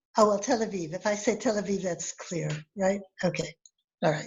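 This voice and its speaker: A somewhat breathy woman's voice in an American accent, with ordinary pitch variation. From US Midwest, Highland Park, Illinois. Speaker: storyteller. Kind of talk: storytelling. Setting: video call. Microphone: close to the mic, slightly distorted.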